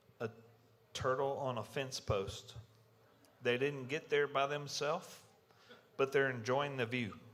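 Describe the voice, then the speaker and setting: Speaking at a fairly slow pace, this voice carries a Southern US accent. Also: man. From US South, Mississippi. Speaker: security conference speaker, electrical engineer. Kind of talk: conference talk intro.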